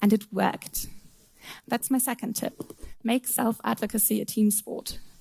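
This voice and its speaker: A woman with a German accent speaks at a fairly high pitch and a moderate pace, her tone dark, mellow and somewhat breathy, her intonation fairly even. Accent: non-native English speaker, German. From Germany. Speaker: software tester and conference speaker. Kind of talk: conference talk. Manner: occasional stumbles on words.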